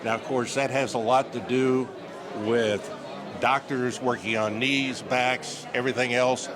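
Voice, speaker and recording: A man's medium-pitched, flat monotone at a fairly slow pace, with very even loudness, audible room echo and music in the background. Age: 70s. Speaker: TV broadcaster. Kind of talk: casual interview. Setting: red carpet event.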